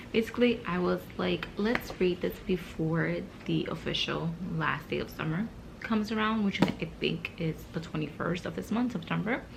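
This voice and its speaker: Moderate pace over noticeable background noise. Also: woman. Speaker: book vlogger. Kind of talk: casual vlog. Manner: speaking low, early morning.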